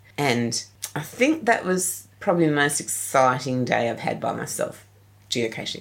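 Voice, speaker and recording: A woman with an Australian accent, fairly slow in pace, with vocal fry. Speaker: geocacher. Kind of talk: interview.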